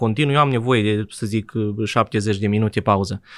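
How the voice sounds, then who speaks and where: At a fairly quick pace, a man speaks in a normal speaking voice with lively intonation. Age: 20s. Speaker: IT freelancer developer. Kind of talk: interview conversation.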